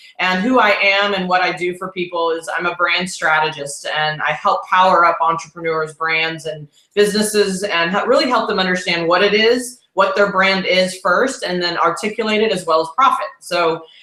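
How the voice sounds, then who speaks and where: A slight Texas accent comes through, with ordinary pitch variation. There are hardly any pauses. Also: woman, medium pitch for a woman. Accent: Texas drawl, slight. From Texas, Houston. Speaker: brand strategist, author. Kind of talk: interview.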